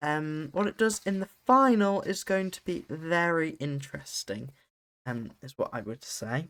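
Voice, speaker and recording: A man in a British accent, fairly high in pitch with very wide pitch swings, in a very clean recording with a silent background. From UK. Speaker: podcast host. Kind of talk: solo podcast analysis. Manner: casual, with frequent fillers.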